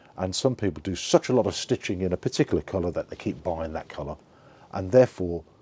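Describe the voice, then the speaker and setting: In an English accent, a man with a very deep, low pitch and a dark, mellow tone speaks at a very fast pace with ordinary pitch variation. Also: big swings in loudness, very clean recording, silent background. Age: 60s. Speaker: online seller vlogger. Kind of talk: casual video log. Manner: halting, repeats words.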